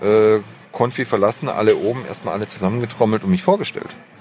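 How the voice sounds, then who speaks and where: Against noticeable background noise, a man talks at a fairly quick pace with lively intonation. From southern Germany, Stuttgart area (Swabia). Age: 30s. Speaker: advertising creative director. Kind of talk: casual interview. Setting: football stadium box, outdoors.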